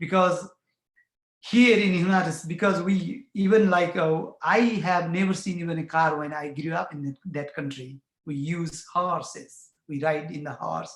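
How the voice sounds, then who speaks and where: At a moderate pace, a man talks in a high voice. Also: big swings in loudness. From Bhutan. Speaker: community farmer and refugee advocate. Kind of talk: personal testimony at a panel forum. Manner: halting, with many fillers.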